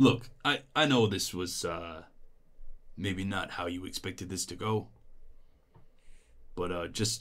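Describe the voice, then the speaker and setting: A man puts on a character voice, rumbling at a very deep, low pitch. He goes at a fairly slow pace with long, frequent pauses. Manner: resigned, conciliatory.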